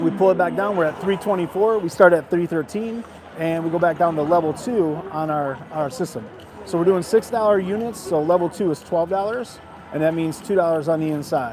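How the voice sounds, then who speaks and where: Noticeable background noise surrounds a man who speaks at a fairly quick pace with a high pitch. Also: ordinary pitch variation. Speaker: casino gaming streamer. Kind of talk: live casual commentary while gambling. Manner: fast.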